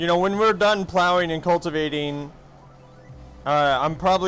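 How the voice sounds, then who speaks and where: A man's voice with ordinary pitch variation and music playing in the background. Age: 30s. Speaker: gaming streamer. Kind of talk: casual chat. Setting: livestream.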